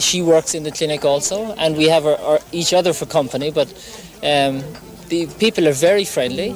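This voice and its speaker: A man with an Irish accent, fairly high pitch, ordinary pitch variation and a fairly quick pace, with music in the background. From Ireland. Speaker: doctor. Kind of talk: interview. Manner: halting.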